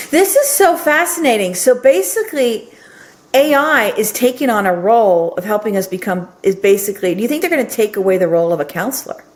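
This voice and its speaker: A woman speaks at a fairly high pitch and a fairly quick pace, her voice swinging very widely in pitch with an enthusiastic tone. Noticeable background noise sits behind her. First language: Norwegian. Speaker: podcast host. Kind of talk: podcast interview.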